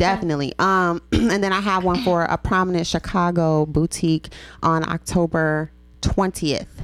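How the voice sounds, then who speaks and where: Fairly even intonation marks this woman's speech in an American accent. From Memphis, US South. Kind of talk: casual chat. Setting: studio.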